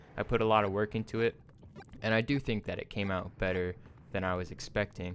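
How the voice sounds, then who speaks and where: Very fast male speech, fairly low in pitch, with fairly even intonation. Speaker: YouTuber. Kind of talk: vlog monologue. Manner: flat.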